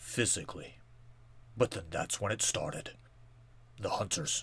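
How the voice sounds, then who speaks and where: Raspy, put-on character voice from a man, moderately paced. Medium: machinima. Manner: blunt, accusing.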